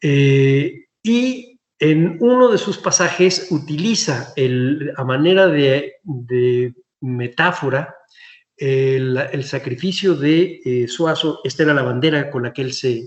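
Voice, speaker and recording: Somewhat breathy and fairly high in pitch, a man speaks at a very slow pace. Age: 60s. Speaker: historian, museum director. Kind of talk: lecture. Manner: halting.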